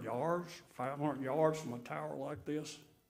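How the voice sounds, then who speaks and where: With ordinary pitch variation, a man's voice is heard amid audible room echo. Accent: Mississippi. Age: 70s. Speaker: resident speaking at city meeting. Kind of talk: public comment. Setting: city board meeting.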